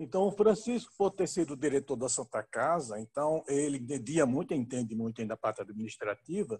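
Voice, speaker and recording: A man speaks at a fairly quick pace and fairly high pitch, his voice somewhat breathy with very wide pitch swings. The sound is dry and close, with no echo. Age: 70s. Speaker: physician and company co-founder. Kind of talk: panel interview.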